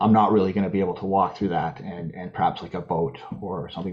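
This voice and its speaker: Over noticeable background noise, a man with a Canadian accent talks at a very fast pace and a very deep, low pitch, with ordinary pitch variation. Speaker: invasive species contractor, presenter. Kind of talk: webinar presentation. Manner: halting, frequent repetitions.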